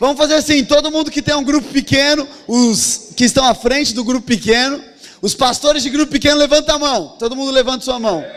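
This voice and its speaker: Over noticeable background noise, a man talks at a fairly quick pace. His pitch is extremely high, with ordinary variation. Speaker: pastor. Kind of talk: sermon. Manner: fast.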